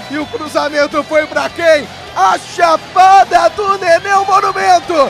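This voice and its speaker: Over crowd noise in the background, a man with an extremely high pitch speaks at a very slow pace. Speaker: radio football commentator. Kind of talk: live sports commentary, goal call.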